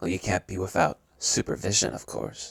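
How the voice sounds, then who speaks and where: A man performs a put-on character voice. His pace is moderate. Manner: bossy, supervising.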